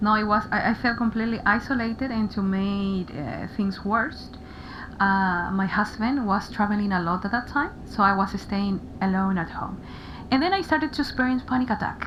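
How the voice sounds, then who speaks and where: A woman speaks at a moderate pace with a Spanish accent, her medium pitch rising and falling in an ordinary way. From Paraguay. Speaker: interviewee sharing mental health experience. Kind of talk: radio interview. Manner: halting, frequent repetitions.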